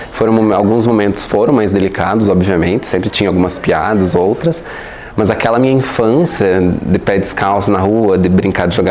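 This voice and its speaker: Noticeable background noise and audible room echo surround a man speaking at a moderate pace. His fairly low voice has ordinary pitch variation and very even loudness. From Brazil, Paraná (União da Vitória). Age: 20s. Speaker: LGBT activist and university staff member. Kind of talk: interview. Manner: halting, many fillers.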